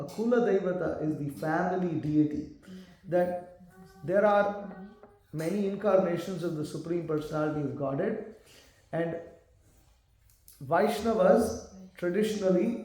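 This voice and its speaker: A man speaks at a high pitch and a moderate pace, with ordinary pitch variation and long, frequent pauses. Noticeable background noise and audible room echo fill the recording. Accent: Indian. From South India, Tamil. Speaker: monk preacher. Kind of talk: lecture. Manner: animated.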